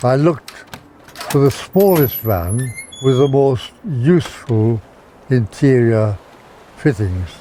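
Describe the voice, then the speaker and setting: A man's medium-pitched voice with lively intonation and very even loudness, at a very slow pace with long, frequent pauses, over noticeable background noise. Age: 80s+. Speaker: interviewee in documentary. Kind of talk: interview.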